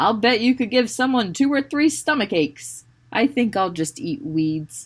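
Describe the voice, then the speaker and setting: A put-on character voice, female-sounding and fairly high-pitched for a woman, on a very clean recording with a silent background. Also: moderate pace. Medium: read story.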